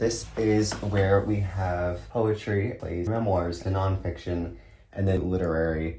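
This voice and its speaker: Very slow speech with an American accent. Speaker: college student. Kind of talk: casual talk to camera.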